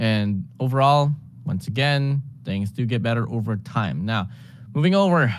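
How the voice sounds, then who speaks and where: A man's plain, everyday voice, medium in pitch, with lively intonation and a moderate pace. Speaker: esports caster. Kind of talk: live esports commentary.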